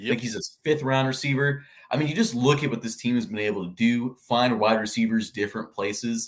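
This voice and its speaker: A man with a normal speaking voice talks fairly quickly at a medium pitch. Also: ordinary pitch variation. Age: 20s. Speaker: sports podcaster. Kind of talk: casual chat.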